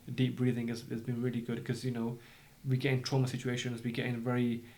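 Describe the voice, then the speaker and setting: Amid audible room echo, a man with a medium pitch talks fairly quickly in monotone, flat intonation, leaving long, frequent pauses. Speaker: doctor and entrepreneur. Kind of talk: podcast interview. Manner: halting, repeats words.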